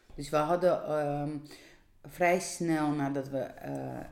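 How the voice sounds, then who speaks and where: Amid audible room echo, a woman with a dark, mellow tone speaks with ordinary pitch variation. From Georgia. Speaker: teacher and illustrator. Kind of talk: casual interview. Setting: home kitchen. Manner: halting.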